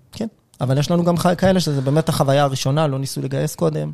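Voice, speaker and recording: Speaking at a very fast pace, a man with a fairly high pitch sounds somewhat breathy, with a dark, mellow tone and fairly even intonation. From Israel, Rishon LeZion. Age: 30s. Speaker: venture investor and podcaster. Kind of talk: interview.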